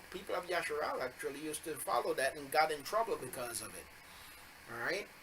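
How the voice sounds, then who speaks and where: Noticeable background noise fills the clip. A man speaks in a raised, projected voice. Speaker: bible teacher. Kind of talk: religious teaching video. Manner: halting with fillers.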